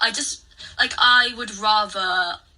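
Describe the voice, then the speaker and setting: Noticeable background noise sits behind a woman speaking with a strong British accent. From English Midlands. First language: not English (multilingual, Chinese heritage). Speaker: content creator. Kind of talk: casual chat. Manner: fast, rambling with fillers.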